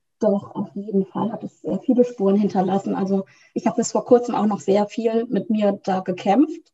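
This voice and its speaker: A woman's somewhat breathy, dark and mellow voice, medium in pitch, with ordinary pitch variation and a moderate pace. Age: 30s. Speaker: couples coach. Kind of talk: interview.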